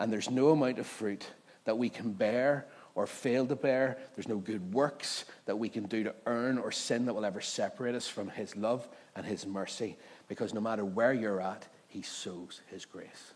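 Moderate pace, ordinary pitch variation, and a Northern Irish accent. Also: man, medium pitch for a man. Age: 30s. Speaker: pastor. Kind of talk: sermon. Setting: church.

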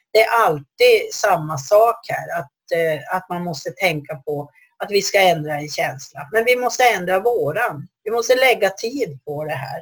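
A somewhat breathy woman with a medium pitch speaks at a fairly slow pace with hardly any pauses, very wide pitch swings, and big swings in loudness. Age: 60s. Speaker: dog trainer and institute head. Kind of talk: solo podcast talk. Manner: hesitant.

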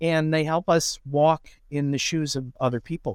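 Man with a Midwestern US accent and a fairly high pitch, dry and close with no echo, on a very clean recording with a silent background. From Indiana, lives in Iowa. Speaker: writing professor and musician. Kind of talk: interview, casual conversation.

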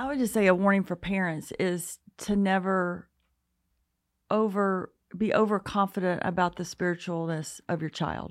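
A woman's medium-pitched voice in an Alabama accent, at a moderate pace with fairly even intonation, on a very clean recording with a silent background. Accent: Southern US, Alabama. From US South, North Alabama. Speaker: parenting speaker. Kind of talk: casual interview.

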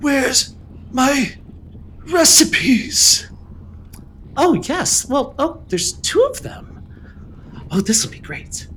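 Over clear background noise, a man in a put-on character voice speaks at an extremely high pitch and a very slow pace, with long, frequent pauses. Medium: actual play. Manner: eager, grasping.

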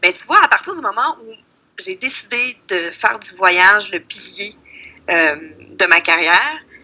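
Using very wide pitch swings and big swings in loudness around a medium pitch, a woman with a Quebec accent speaks at a fairly slow pace with long, frequent pauses. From Quebec, Lac-Saint-Jean (Saint-Félicien). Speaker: travel columnist and blogger. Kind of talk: casual interview.

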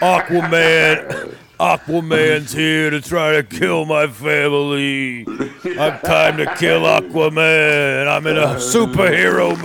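Putting on a character voice with a New York accent, a man talks fairly slowly in a fairly high pitch, with hardly any pauses and clear background noise. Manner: incredulous, comedic.

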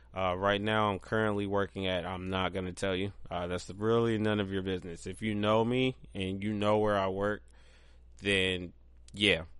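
A man with an American accent speaks in a plain, everyday voice at a moderate pace. His fairly low pitch carries fairly even intonation. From Ohio, Columbus area. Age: 30s. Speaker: podcast host. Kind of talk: casual monologue. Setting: home dining room. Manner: casual, many fillers.

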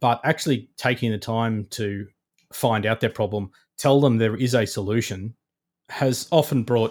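A man with an Australian accent and ordinary pitch variation, on a very clean recording with a silent background. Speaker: digital engineering manager at a contractor. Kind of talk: interview.

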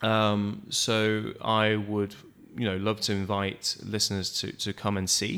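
With a British accent, a man talks at a fairly slow pace and a fairly low pitch in a bright, sharp tone. His intonation is monotone and flat, and the recording is very clean with a silent background. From United Kingdom. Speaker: community organization co-founder. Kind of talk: interview. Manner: hesitant, many fillers.

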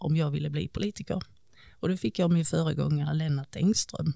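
Very deep and low in pitch, a woman's voice carries a dark, mellow tone and lively intonation. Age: 40s. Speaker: local politician. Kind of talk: interview.

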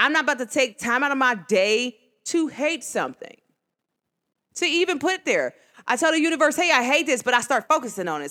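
An animated woman's voice with lively intonation, on a very clean recording with a silent background. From New Jersey / New York, US. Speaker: podcast host. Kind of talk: casual solo talk show monologue. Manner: animated, conversational.

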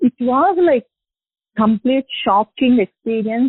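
A woman's high pitch moves in very wide swings. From India (Hyderabad). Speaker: guest sharing faith testimony. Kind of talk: testimony. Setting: phone call. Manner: halting.

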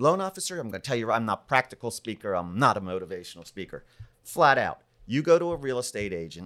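A man with an American accent speaks at a medium pitch in an unremarkable speaking voice. His intonation is lively. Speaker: public speaker, mortgage professional. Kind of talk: casual interview chat.

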